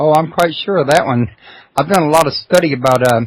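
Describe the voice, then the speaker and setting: A man with a Texas accent and ordinary pitch variation. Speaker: radio host. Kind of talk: interview. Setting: internet radio show.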